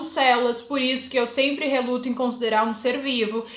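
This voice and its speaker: Audible room echo and noticeable background noise surround a woman speaking at a high pitch. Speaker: biology teacher. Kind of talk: lecture. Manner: casual, informal.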